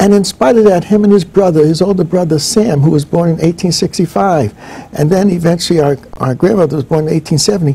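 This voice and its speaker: Noticeable background noise sits behind a man talking at a very fast pace with an American accent. His pitch is high, with ordinary variation. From northern New Jersey, US. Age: 70s. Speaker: professor. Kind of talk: interview.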